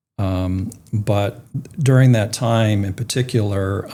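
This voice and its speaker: A man's medium-pitched, somewhat breathy voice with a dark, mellow tone, ordinary pitch variation and a fairly slow pace. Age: 60s. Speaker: retired philanthropy leader and activist. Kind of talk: interview. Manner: halting.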